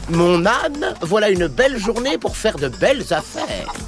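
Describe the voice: Over clear background music, a man does a cartoonish character voice at a high pitch and fairly slow pace with big pitch swings.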